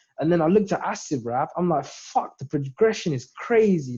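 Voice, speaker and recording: A man with a southern English accent, a fairly high pitch, a dark, mellow tone and a fairly quick pace. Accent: southern English (UK). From southern England. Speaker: independent rapper. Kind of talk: casual interview chat. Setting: video call. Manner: animated.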